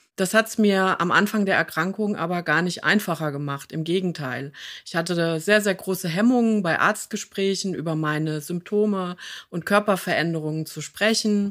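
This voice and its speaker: Here is a woman with an unremarkable speaking voice, medium in pitch with ordinary pitch variation, at a moderate pace. The recording is very clean, with a silent background. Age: 50s. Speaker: patient advocate and podcast host, former occupational therapist. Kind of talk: interview conversation.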